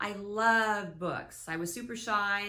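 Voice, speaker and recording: Her tone is bright and sharp. The speaker is a woman. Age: 60s. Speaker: author. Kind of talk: casual talk to camera.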